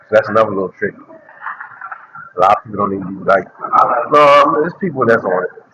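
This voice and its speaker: Amid noticeable background noise, a man with a fairly low pitch talks at a very fast pace broken by long, frequent pauses. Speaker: vlogger, content creator. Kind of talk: casual walking vlog. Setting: outdoors, walking. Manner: loud at times; repetitive, halting.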